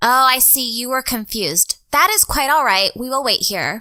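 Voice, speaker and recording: A woman performs a put-on character voice, high in pitch, at a moderate pace. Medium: actual play. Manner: formal, no contractions, cheerful.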